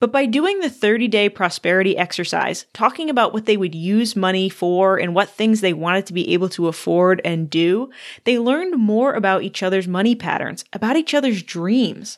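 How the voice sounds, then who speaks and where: This is an unremarkable speaking voice with lively intonation at a moderate pace. The background is quiet. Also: woman, medium pitch for a woman. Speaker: podcast host. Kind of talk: casual interview chat.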